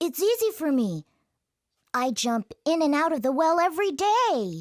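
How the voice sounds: This cartoonish character voice is high in pitch and moves at a moderate pace.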